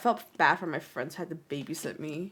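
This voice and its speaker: In a very clean recording with a silent background, a woman talks at a fairly quick pace. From Canada. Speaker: streamer and education student. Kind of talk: casual live-stream chat. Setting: live stream.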